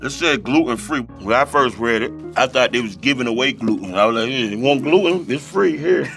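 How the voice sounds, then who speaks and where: There is clear music in the background. A man speaks over it at a moderate pace. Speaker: interview guest. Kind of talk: interview answer. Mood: playful, laughing storyteller. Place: studio.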